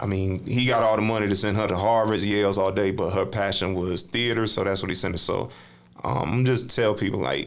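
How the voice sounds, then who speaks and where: In an American accent, a man talks at a fairly low pitch and a fairly quick pace. His pitch variation is ordinary, and the room echo is audible. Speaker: spoken word poet and author; navy veteran. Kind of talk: casual interview chat. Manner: loud, brash delivery; animated storytelling.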